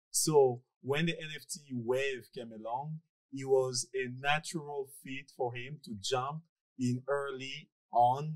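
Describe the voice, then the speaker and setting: Very slow speech from a man, set in a quiet background. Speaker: podcast host. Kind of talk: podcast intro reading. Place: home room. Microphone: studio mic.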